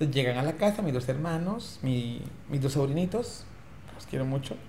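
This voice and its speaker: Against noticeable background noise and audible room echo, a man talks at a fairly quick pace with a fairly high pitch and lively intonation. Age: 40s. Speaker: politician and HIV rights activist. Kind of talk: interview.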